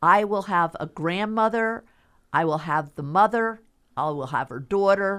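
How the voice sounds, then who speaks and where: A woman's medium-pitched voice with a Philadelphia accent, lively in intonation with big swings in loudness, at a fairly slow pace on a very clean recording with a silent background. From Philadelphia, US. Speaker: stylist and fashion designer. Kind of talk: radio interview.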